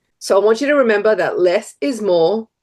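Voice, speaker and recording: The voice has a dark, mellow tone and an Australian accent. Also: woman. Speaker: brand strategist. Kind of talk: tutorial.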